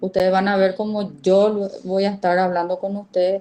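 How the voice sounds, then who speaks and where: Her tone is dark and mellow. The woman speaks at a medium pitch. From Paraguay, border region. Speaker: university lecturer. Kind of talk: lecture.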